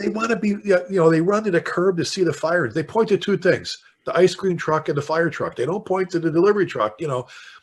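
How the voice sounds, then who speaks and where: Talking fairly quickly with hardly any pauses, a man with a Chicago accent sounds animated, using a high pitch and ordinary pitch variation. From South Side Chicago. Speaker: fire chief and author. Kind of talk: podcast interview, storytelling.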